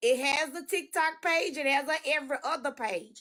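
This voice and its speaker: A woman speaks at a high pitch. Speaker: real estate broker and former law enforcement. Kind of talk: live stream chat. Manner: strong, forceful.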